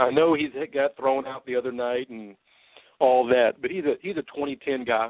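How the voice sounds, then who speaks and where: A man with a medium pitch speaks at a moderate pace, his loudness swinging widely. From Louisville, Kentucky. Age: 30s. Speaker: sports talk radio host. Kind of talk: solo sports talk show, year-in-review commentary; radio DJ-style break patter: station time check, show ID and promo tease before a break. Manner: casual and conversational with frequent uh fillers and repeated words; upbeat, announcer-like sign-off cadence.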